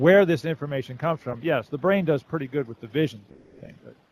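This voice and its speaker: Dry, close sound with no echo, a fairly quick pace and ordinary pitch variation. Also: man. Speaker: caller. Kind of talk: casual monologue. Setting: online voice chat, breaking up. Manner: quiet, hard to hear.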